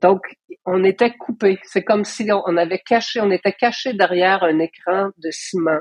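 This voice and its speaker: This woman has a plain, everyday voice at a medium pitch. She speaks at a fairly slow pace with fairly even intonation. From Quebec, Hull (Outaouais). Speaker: artist and curator. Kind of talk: interview conversation.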